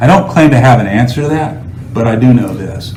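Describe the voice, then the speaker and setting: In an American accent, a man speaks at a moderate pace with ordinary pitch variation. Noticeable background noise and audible room echo fill the recording. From North Carolina, Winston-Salem. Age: 60s. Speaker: political candidate. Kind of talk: interview. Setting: sit-down interview.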